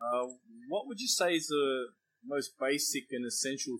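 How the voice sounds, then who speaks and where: A man talks at a moderate pace in an unremarkable speaking voice. His pitch sits in the medium range. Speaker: interviewer, martial arts instructor. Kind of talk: casual interview.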